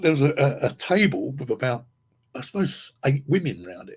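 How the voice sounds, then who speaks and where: A man with an English accent speaks at a fairly high pitch with vocal fry. His pitch swings very widely. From England. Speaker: podcast host, guitarist. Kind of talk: casual chat. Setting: live stream. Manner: halting.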